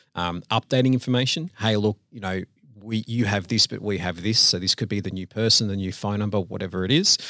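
A man with an Australian accent, fairly low in pitch with ordinary pitch variation, at a fairly quick pace, his tone bright and sharp, in a dry, close sound with no echo on a very clean recording with a silent background. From Australia, Sydney. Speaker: business owner. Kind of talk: casual interview.

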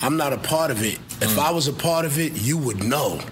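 A man in a New York accent talks with lively intonation over noticeable background noise. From Brooklyn, New York. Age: 30s. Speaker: rapper. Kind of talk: casual chat. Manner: animated.

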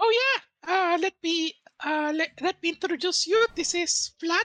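Squeaky and extremely high in pitch, a man performs a put-on character voice. He speaks at a fairly slow pace. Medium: actual play. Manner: casual, chatty.

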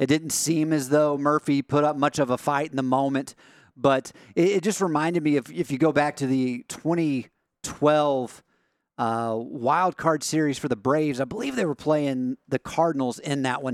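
A man with a normal speaking voice talks at a moderate pace and fairly high pitch, with fairly even intonation, on a very clean recording with a silent background. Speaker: show producer. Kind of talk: casual sports talk.

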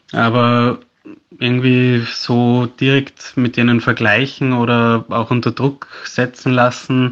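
A man talks at a very slow pace in a monotone, flat intonation. His loudness stays very even. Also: medium pitch for a man. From Austria, Salzburg. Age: 20s. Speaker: landscape photographer, content creator. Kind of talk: interview.

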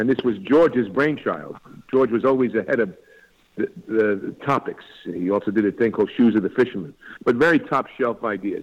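Fairly quick speech from a man with a New York accent. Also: medium pitch for a man, ordinary pitch variation. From New York, Long Island. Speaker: actor. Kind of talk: interview.

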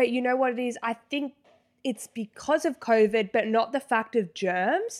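Someone with an Australian accent speaks at a moderate pace with ordinary pitch variation, on a very clean recording with a silent background. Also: woman, high pitch for a woman. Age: 20s. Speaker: podcast co-host. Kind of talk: casual chat.

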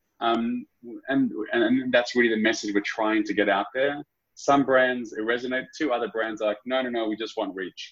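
This man has an Australian accent. He talks at a moderate pace. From Sydney, Australia. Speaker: startup founder and CEO. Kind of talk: casual interview.

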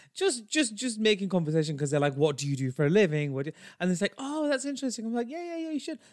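A man's very fast, animated delivery with a British accent, high in pitch and full of very wide pitch swings. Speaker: podcast co-host. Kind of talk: casual chat.

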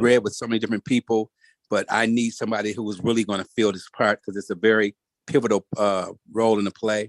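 In an ordinary speaking voice, a man with an American accent talks at a fairly quick pace and medium pitch, the sound dry and close with no echo. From Detroit, Michigan. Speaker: screenwriter and producer. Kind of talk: casual chat.

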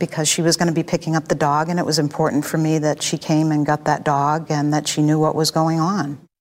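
A woman with a very deep, low pitch, talking at a very fast pace in a monotone, flat intonation with hardly any pauses. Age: 60s. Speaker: murder suspect. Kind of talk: interview.

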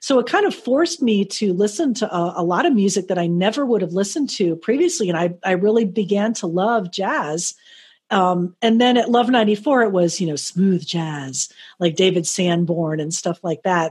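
A woman's medium-pitched voice at a moderate pace, with lively intonation. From South Florida. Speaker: radio host and network manager. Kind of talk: interview. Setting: video call. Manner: casual.

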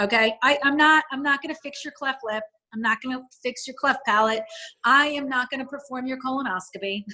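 A woman with an American accent speaks at a fairly quick pace in a high, bright, sharp voice that is raised and projected. Her pitch varies in an ordinary way, while her loudness swings widely. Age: 40s. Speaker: media personality. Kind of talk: interview.

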